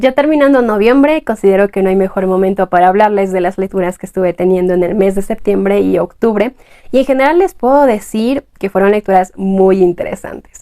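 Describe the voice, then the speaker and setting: With a dark, mellow tone and medium pitch, a woman talks at a fairly quick pace. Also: ordinary pitch variation, hardly any pauses. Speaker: booktuber. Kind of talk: book review vlog.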